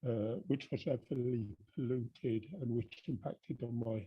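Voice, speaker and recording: A man talks at a very slow pace, somewhat breathy, at medium pitch. His pitch variation is ordinary. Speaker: poet. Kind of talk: introduction to his own poem. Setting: online video call event.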